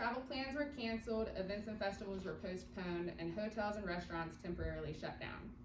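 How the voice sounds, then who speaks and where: A woman of medium pitch talks at a fairly quick pace with hardly any pauses and ordinary pitch variation. Audible room echo and noticeable background noise surround her. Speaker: tourism marketing staff. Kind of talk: presentation to county commission. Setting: public meeting, no microphone.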